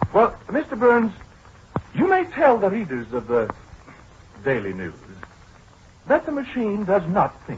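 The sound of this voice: In a put-on character voice, a man talks high, husky and rough-edged, at a fairly slow pace with very wide pitch swings and long, frequent pauses.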